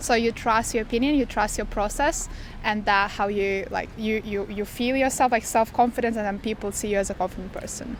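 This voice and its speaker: A woman with a Lithuanian accent speaks at a fairly quick pace in a fairly high pitch with fairly even intonation, music playing in the background. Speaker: street interviewee. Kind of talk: street interview.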